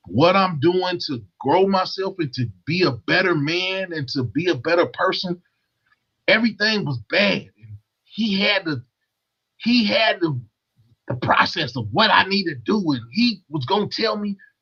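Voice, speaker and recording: Music plays in the background as a man speaks at a high pitch. His intonation is lively and his pace fairly slow. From Louisville, Kentucky. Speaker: YouTuber. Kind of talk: casual chat.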